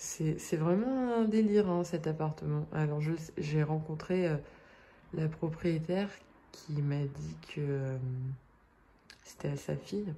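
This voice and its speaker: A woman's very deep, low voice, dark and mellow, somewhat breathy, at a very slow pace. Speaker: vlogger. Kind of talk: vlog. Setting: indoors, rented flat. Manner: hesitant, many fillers.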